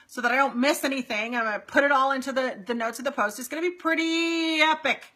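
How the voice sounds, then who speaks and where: Raised and projected, a woman's high-pitched voice races at a very fast pace with lively intonation and an animated tone. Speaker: marketing coach for real estate agents. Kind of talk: live stream Q&A. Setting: Facebook live stream.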